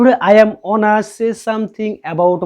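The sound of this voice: A man speaks slowly. His tone is dark and mellow.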